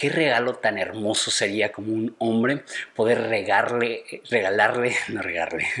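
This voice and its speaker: A man with a medium pitch talks at a fairly slow pace over noticeable background noise. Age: 30s. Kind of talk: advice monologue.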